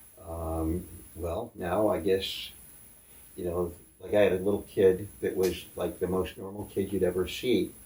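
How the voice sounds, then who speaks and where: With an American accent, a man speaks fairly slowly in a very deep, low voice that is dark, mellow and somewhat breathy, his delivery flat and monotone. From upstate New York (Syracuse). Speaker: tattoo artist. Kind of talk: interview.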